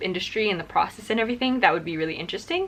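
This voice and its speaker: A woman's voice with lively intonation over noticeable background noise. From Singapore. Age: 20s. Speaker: musical theatre performer. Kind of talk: casual chat.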